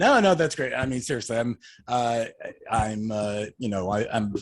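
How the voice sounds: Here a man speaks at a moderate pace. His pitch is fairly low.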